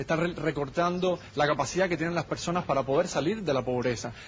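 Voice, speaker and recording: Fairly high in pitch, a man with a Cuban accent talks at a fairly quick pace with ordinary pitch variation. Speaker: political activist. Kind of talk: heated debate.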